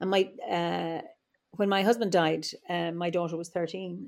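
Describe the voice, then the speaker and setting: A woman speaks in an Irish Midlands accent with a fairly low pitch. Her intonation is fairly even. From Ireland, Offaly (Midlands). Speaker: druid and psychologist. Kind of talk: interview conversation. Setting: remote call from home.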